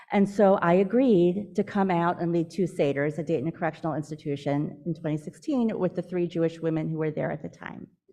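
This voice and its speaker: This woman's voice has a dark, mellow tone and a fairly low pitch with ordinary variation. She talks at a fairly quick pace with hardly any pauses. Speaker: social services worker who leads prison Seders. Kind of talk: speech at a synagogue event. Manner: fast.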